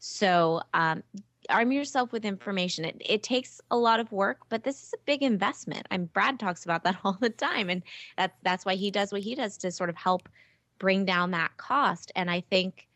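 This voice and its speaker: A woman speaks at a medium pitch and a moderate pace, with ordinary pitch variation. She has a plain, everyday voice. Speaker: test prep tutor and business founder. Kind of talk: interview.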